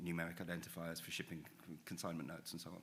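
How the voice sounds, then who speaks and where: This is a man speaking. His voice is very deep and low. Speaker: rail infrastructure expert. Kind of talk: panel discussion. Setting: stage with audience.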